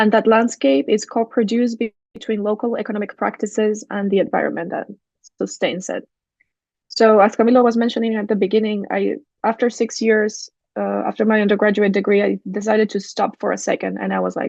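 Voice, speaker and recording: Against a quiet background, a woman speaks at a fairly quick pace in a Spanish accent, in a dry, close sound with no echo. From Chile. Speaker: architect and urban design researcher. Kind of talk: academic lecture.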